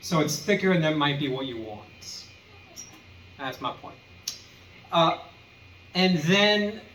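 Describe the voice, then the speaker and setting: With audible room echo and noticeable background noise, a man with a fairly high pitch talks at a very slow pace, leaving long, frequent pauses. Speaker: guitar tutorial youtuber. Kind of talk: tutorial. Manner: casual with many fillers.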